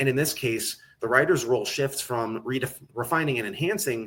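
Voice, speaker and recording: Lively intonation marks the speech of this man. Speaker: conference speaker on technical documentation. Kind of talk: conference talk. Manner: fast.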